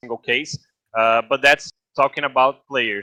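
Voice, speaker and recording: A man with a Brazilian accent talks at a moderate pace in a dry, close sound with no echo. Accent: non-native English, Brazilian. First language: Portuguese. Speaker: esports guest expert. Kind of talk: podcast interview. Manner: halting, many fillers.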